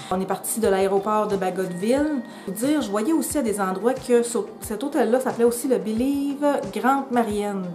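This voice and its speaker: Music plays behind a woman with a Quebec accent whose fairly high voice shows ordinary pitch variation, and the room echo is audible. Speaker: travel vlogger. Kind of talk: casual vlog talk to camera. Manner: fast; animated.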